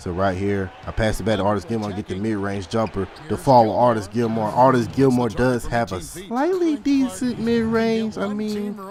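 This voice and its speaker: A man talks at a moderate pace with hardly any pauses. Noticeable background noise can be heard. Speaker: gaming youtuber. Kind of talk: gameplay commentary. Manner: animated.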